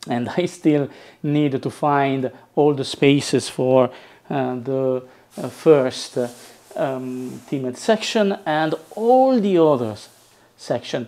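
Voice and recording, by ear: A man speaks slowly in a dark, mellow tone. His pitch varies in an ordinary way. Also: medium pitch for a man.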